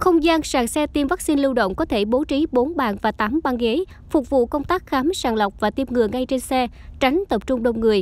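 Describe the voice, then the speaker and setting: Lively intonation at a moderate pace. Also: woman. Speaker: news narrator. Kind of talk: scripted narration. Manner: formal.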